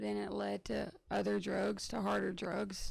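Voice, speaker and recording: She speaks with a Southern US accent. Her pace is fairly slow. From Tennessee, Franklin County. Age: 20s. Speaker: program participant, factory worker. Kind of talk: testimony.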